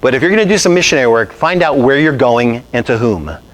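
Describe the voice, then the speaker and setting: Delivered at a very fast pace, the speech has lively intonation against noticeable background noise. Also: man. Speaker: pastor. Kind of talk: sermon. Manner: animated.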